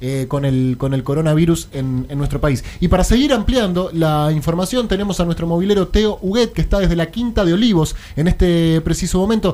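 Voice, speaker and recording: Over noticeable background noise, a man with a high pitch talks at a fairly quick pace with lively intonation and hardly any pauses. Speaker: radio host. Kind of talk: radio talk show. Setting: studio.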